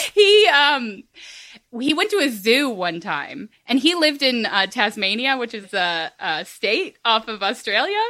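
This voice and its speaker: With an American accent, a woman in a high pitch and a bright, sharp tone speaks at a fairly slow pace through very wide pitch swings. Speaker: podcast host. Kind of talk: casual chat.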